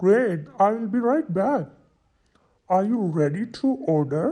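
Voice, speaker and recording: A put-on character voice speaks at a fairly slow pace with a fairly high pitch. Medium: solo performance. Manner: polite, formal.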